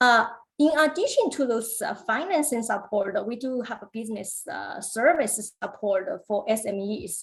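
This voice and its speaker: A woman speaks at a moderate pace and a fairly high pitch with lively intonation. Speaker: government business funding officer. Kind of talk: webinar presentation. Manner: hesitant, many fillers.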